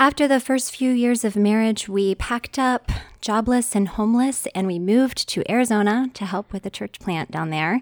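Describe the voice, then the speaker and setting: A woman with a normal speaking voice, fairly high pitch for a woman and ordinary pitch variation, at a moderate pace with hardly any pauses, in a dry, close sound with no echo on a very clean recording with a silent background. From West Virginia. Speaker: church member sharing mental health struggle. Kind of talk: interview testimony.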